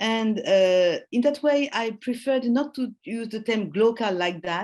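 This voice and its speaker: The speaker has a non-native accent and a fairly slow pace. The intonation is lively. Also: woman. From Japan, French-Japanese family. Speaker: professor. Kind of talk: Q&A after lecture. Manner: halting, many fillers.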